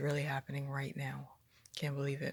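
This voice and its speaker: This voice belongs to a woman and sits very deep and low. Her speech carries vocal fry. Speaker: vlogger, new mother. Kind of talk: casual vlog storytelling.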